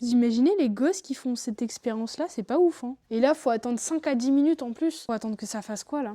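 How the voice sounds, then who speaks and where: Talking at a very fast pace, a woman has a high pitch, a dark, mellow tone and ordinary pitch variation, captured in a very clean recording with a silent background. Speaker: YouTuber. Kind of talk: casual vlog. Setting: home bar. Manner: stuttering at times.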